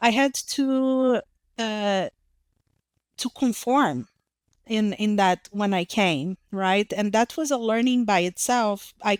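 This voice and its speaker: A woman with a Brazilian accent, fairly high-pitched with ordinary pitch variation and very even loudness, at a very slow pace with long, frequent pauses, on a very clean recording with a silent background and a dry, close sound with no echo. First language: Portuguese. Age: young. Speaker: psychologist. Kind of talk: interview testimony. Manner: halting, many fillers and repetitions.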